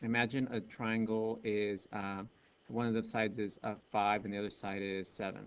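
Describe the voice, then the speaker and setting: The speaker is a man. His voice has a medium pitch. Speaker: math teacher. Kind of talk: video lecture. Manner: fast.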